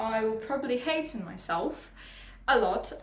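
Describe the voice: A woman's fairly high-pitched voice, nervous in tone, with ordinary pitch variation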